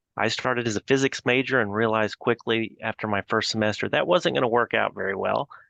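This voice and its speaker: A man with a slight Texas accent, vocal fry and a bright, sharp tone, at a very fast pace with hardly any pauses, in a dry, close sound with no echo and a quiet background. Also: medium pitch for a man, ordinary pitch variation. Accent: slight Texas twang. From Texas, Fort Worth. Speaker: accounting advisory leader. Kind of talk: interview.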